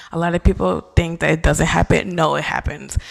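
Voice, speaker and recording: A woman at a fairly quick pace in an animated tone, amid noticeable background noise. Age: 20s. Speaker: podcast host. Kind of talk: casual chat. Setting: bedroom at home.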